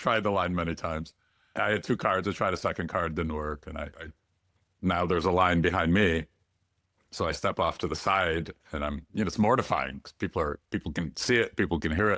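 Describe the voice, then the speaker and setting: A bright, sharp-toned voice moves at a fairly quick pace with ordinary pitch variation, recorded dry and close with no echo. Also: man, very deep, low pitch for a man, very clean recording, silent background. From Ukraine. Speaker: entrepreneur and sales growth speaker. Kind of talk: podcast interview.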